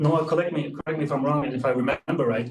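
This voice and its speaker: Somewhat breathy, the voice rises and falls in pitch in a normal way. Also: man. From Germany. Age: 40s. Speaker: business owner. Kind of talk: webinar talk. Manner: halting, many fillers.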